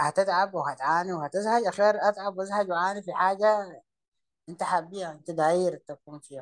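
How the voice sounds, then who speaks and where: A man with a Sudanese accent speaks at a moderate pace in a high voice, his intonation fairly even but his loudness swinging widely, recorded with a dry, close sound and no echo. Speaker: entrepreneur. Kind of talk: interview conversation.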